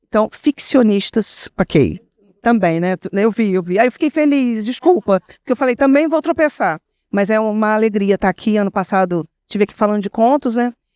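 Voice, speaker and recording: A woman with a plain, everyday voice talks at a moderate pace, her pitch fairly high and her intonation lively. The sound is dry and close with no echo, on a very clean recording with a silent background. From interior of Rio de Janeiro state, Brazil. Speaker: writer on a literary panel. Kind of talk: panel discussion.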